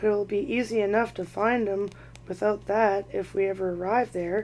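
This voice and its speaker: A female-sounding, put-on character voice at middle pitch moves at a moderate pace over clear background noise. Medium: read story.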